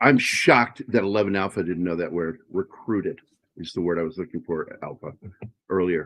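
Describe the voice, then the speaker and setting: Speaking at a fairly quick pace, a man with a very deep, low pitch uses ordinary pitch variation in an American accent. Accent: Virginia accent, stronger when tired. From Virginia, US. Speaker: podcast co-host and writer. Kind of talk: casual chat.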